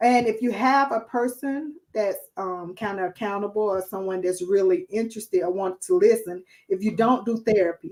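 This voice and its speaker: A woman with an American accent speaks at a fairly high pitch and a moderate pace. Her intonation is lively, and she hardly pauses. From New Jersey. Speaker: guest speaker. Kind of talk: live stream chat. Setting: live video stream away from home.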